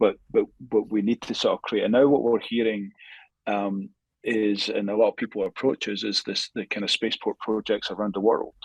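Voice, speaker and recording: A man speaks at a moderate pace in a dry, close sound with no echo. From Scotland. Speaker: space industry academic. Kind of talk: podcast interview. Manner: halting with many fillers and repetitions.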